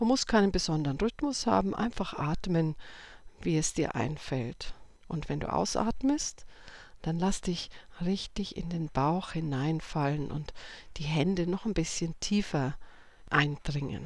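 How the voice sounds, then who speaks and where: A woman talks at a fairly slow pace with long, frequent pauses, her fairly low pitch carrying lively intonation and a calm, soothing tone. The recording is very clean, with a silent background. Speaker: meditation guide. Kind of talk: guided meditation. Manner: slow, calm, soothing.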